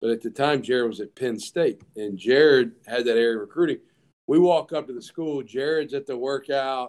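In a Southern US accent, a man of medium pitch speaks at a moderate pace with ordinary pitch variation. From US South. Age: 30s. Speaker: college football head coach. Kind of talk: casual chat.

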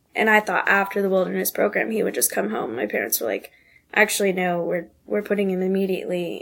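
A woman with an American accent has an ordinary speaking voice at a medium pitch, with ordinary pitch variation. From North Carolina, Asheville. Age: 20s. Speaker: nanny. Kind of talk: personal testimony interview.

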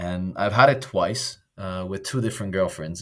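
A man speaks in an Italian accent at a moderate pace and a fairly low pitch. The recording is very clean, with a silent background. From Italy, raised in Belgium. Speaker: expat interviewee, corporate employee. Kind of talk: casual interview. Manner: animated, laughs often.

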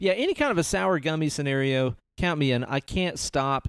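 Speaking at a fairly slow pace, a man with a plain, everyday voice and a fairly high pitch uses lively intonation, heard in a dry, close sound with no echo. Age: 30s. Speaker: podcast host. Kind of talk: casual chat.

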